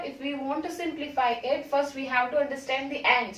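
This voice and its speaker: In a room with audible echo, a woman speaks in a high pitch at a moderate pace with fairly even intonation. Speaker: biology teacher. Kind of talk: lecture. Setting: classroom.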